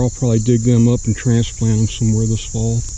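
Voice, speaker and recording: A man's medium-pitched voice in a monotone, flat intonation, with noticeable background noise and audible room echo. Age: 60s. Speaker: hobby farmer and gardener. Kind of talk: walking tour of property. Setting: outdoors. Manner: casual, hesitant with fillers.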